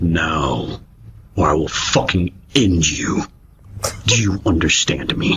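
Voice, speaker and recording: A man puts on a raspy character voice with a very deep, low pitch. He goes at a fairly slow pace, with long, frequent pauses. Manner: menacing.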